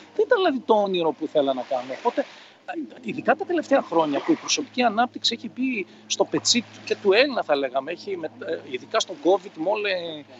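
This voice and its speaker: This man's voice sits high in pitch. His pitch swings very widely as he talks at a fairly quick pace. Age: 50s. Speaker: personal development coach. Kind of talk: interview.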